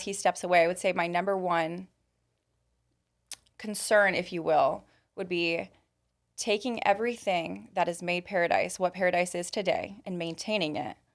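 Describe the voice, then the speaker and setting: The recording is very clean with a silent background as a woman speaks at a moderate pace, her medium pitch carrying ordinary pitch variation. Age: young. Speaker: car dealership manager. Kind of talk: interview conversation. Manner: loud.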